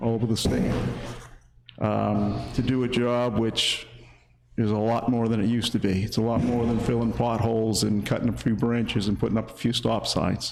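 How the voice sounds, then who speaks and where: The man's voice sits at a medium pitch with monotone, flat intonation and very even loudness. He keeps a moderate pace, and there is audible room echo. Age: 60s. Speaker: town road agent. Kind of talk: public meeting speech. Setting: town hall meeting.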